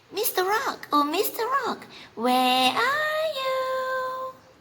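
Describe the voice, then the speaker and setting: A squeaky, put-on character voice moves at a very slow pace. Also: woman, extremely high pitch for a woman. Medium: read story. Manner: carefree, playful.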